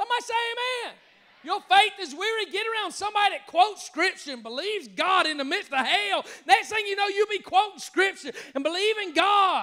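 A man talks at a fairly quick pace with an extremely high pitch and ordinary pitch variation. His voice is raised and projected, with an animated tone. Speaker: pastor. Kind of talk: sermon; call-and-response preaching, urging the congregation to shout amen. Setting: church with congregation, also streamed online. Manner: animated, fervent, exhorting the crowd with repeated calls; stumbling, repeating words in the heat of the moment. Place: church. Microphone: handheld.

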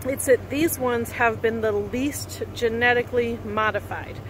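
A woman is heard with noticeable background noise in a dry recording that has no echo. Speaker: RV travel vlogger. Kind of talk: casual vlog chat. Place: open country. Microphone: phone near.

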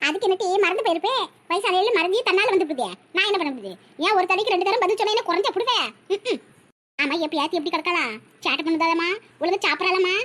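A woman uses a cartoonish character voice at an extremely high pitch. She talks at a fairly quick pace. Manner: gentle, conciliatory.

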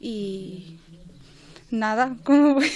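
Against light background noise, a woman speaks at a high pitch. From Morocco. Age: 20s. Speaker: workshop participant. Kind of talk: radio interview. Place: studio.

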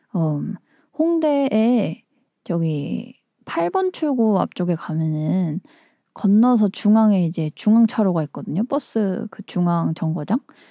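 Over a quiet background, a woman speaks very slowly in a relaxed, dark, mellow tone with lively intonation. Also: dry sound with no echo. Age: 20s. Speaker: musician and community radio host; radio show host. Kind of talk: casual radio talk between songs; radio talk show chat. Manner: relaxed, with frequent filler 어. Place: studio.

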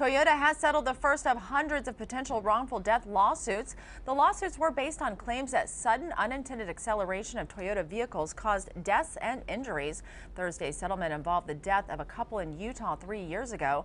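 A woman talks at a very fast pace with very wide pitch swings and vocal fry. Light background noise is present. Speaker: news anchor. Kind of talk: news reading. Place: studio. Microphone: lapel.

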